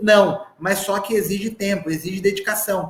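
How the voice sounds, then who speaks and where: Through noticeable background noise, a man with a high-pitched voice speaks at a fairly slow pace. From Brazil, southern Minas Gerais. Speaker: sales trainer. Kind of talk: live online sales training. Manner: animated.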